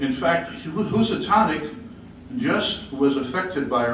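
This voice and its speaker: Amid noticeable background noise and audible room echo, a man talks with very wide pitch swings. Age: 60s. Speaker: resident speaking at public hearing. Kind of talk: public hearing comment.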